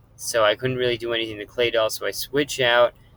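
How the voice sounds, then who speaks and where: Here is an ordinary speaking voice at a moderate pace, with fairly even intonation. The sound is dry and close, with no echo. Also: man. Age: 30s. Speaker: gaming youtuber. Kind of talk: game commentary.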